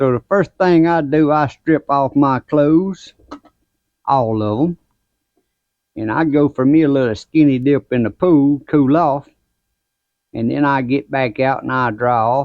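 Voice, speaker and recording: A man with a Southern US accent, fairly high in pitch, with ordinary pitch variation, a fairly slow pace and long, frequent pauses. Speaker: gardening YouTuber. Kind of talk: casual vlog talk. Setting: outdoors at grill. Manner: folksy, conversational.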